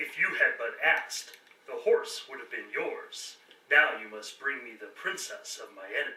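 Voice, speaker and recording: This is a put-on character voice at a moderate pace. There is a slight echo. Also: man, extremely high pitch for a man. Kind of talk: royal proclamation. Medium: audio drama. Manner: stern, commanding.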